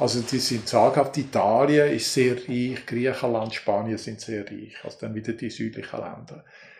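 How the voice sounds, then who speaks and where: His medium-pitched voice has vocal fry and big swings in loudness. The man barely pauses at all. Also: moderate pace. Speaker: folklore professor. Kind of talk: interview. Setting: university office. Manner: animated.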